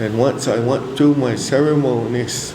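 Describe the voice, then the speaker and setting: A man talks at a very slow pace, with audible room echo and noticeable background noise in the recording. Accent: Cheyenne. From Cheyenne community, US Plains. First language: Cheyenne. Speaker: elder speaker at church convention. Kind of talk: spiritual talk. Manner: hesitant fillers.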